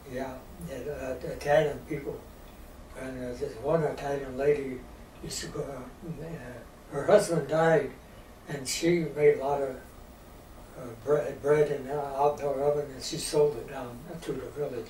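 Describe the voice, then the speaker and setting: A man with a Midwestern US accent at a fairly slow pace, big swings in loudness, over noticeable background noise. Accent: rural Midwestern American. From rural Missouri. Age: 80s+. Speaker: storyteller of Depression-era rural life. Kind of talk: interview answer.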